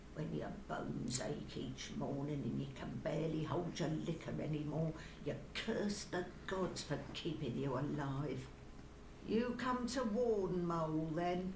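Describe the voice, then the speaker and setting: A put-on character voice at a middle pitch moves at a fairly slow pace. Loud background noise runs underneath. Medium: video game. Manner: broken grammar, speaks of self in third person.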